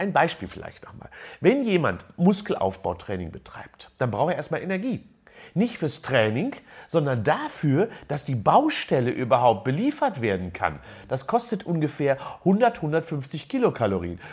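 In a very clean recording with a silent background, a man speaks at a fairly slow pace with a fairly high pitch and vocal fry. His pitch swings very widely and his loudness varies greatly. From Germany, near Unna (Westphalia). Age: 60s. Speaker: sports scientist and professor. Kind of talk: interview.

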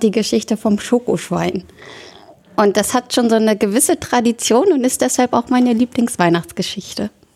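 A woman talks in a normal speaking voice at a fairly high pitch and a moderate pace with ordinary pitch variation, in a dry, close sound with no echo. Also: very even loudness. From northern Germany, Oldenburg area (Lower Saxony). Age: 20s. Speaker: church youth volunteer. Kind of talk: casual chat.

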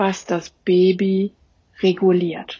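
A woman speaks in a medium pitch. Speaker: trauma therapist. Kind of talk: interview.

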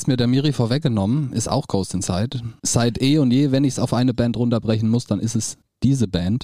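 Fairly quick and very even in loudness, this man speaks at a medium pitch with a dark, mellow tone and ordinary pitch variation. The recording is very clean, with a silent background. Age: 30s. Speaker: podcast co-host, video and sound technician. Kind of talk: casual chat. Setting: rehearsal room.

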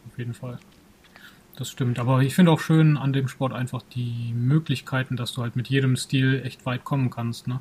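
A man's medium-pitched voice at a moderate pace, monotone and flat. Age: 30s. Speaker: kung fu school owner and podcast co-host. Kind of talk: casual chat.

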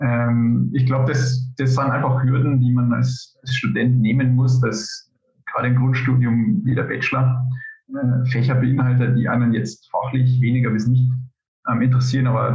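With audible room echo, a man speaks at a medium pitch, his intonation fairly even and his loudness very even. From Upper Palatinate, Bavaria, Germany. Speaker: civil engineer and postdoctoral researcher. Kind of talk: interview. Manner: hesitant, many filler sounds.

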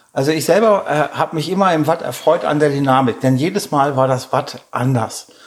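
With ordinary pitch variation, a man talks fairly quickly in a fairly high voice. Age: 50s. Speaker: mudflat hiking guide, former navy airman. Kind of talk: interview. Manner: hesitant, many filler sounds.

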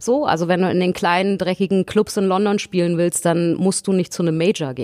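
A woman speaks at a fairly quick pace with a medium pitch and ordinary pitch variation. The sound is dry and close, with no echo. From Berlin. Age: 40s. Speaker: singer. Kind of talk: casual chat.

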